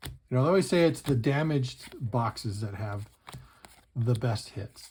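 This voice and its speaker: A somewhat breathy man's voice at a medium pitch and a fairly slow pace. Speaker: card collecting youtuber. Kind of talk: pack opening commentary. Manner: casual, animated.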